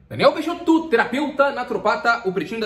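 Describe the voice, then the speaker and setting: A man's voice comes with audible room echo. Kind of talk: casual advice talk to camera. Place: home room. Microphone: phone near.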